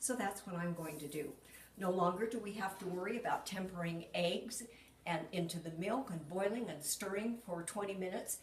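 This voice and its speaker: Amid noticeable background noise and audible room echo, a woman at medium pitch speaks at a moderate pace with ordinary pitch variation. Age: 70s. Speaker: cooking demonstrator. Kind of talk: cooking tutorial. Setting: home kitchen. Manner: casual, chatty.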